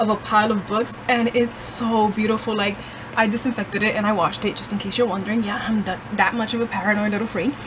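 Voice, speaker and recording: Over noticeable background noise, a woman talks at a fairly quick pace in a fairly high pitch. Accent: Puerto Rican. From Puerto Rico. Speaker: book vlogger. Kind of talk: casual vlog.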